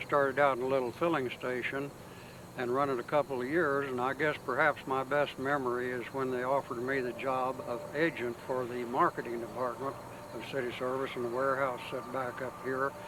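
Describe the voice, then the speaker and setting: Over noticeable background noise, a man talks fairly quickly in a medium pitch with a monotone, flat intonation. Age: 80s+. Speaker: retired oil company agent. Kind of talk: reminiscence.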